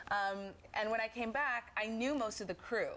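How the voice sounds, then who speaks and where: A female speaker with a moderate pace. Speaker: singer. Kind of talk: tv interview. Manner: halting.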